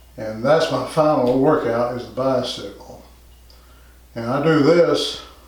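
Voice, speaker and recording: Amid audible room echo and noticeable background noise, a man speaks at a fairly slow pace with fairly even intonation and long, frequent pauses. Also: medium pitch for a man. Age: 60s. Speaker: fitness instructor. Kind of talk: tutorial. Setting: home gym.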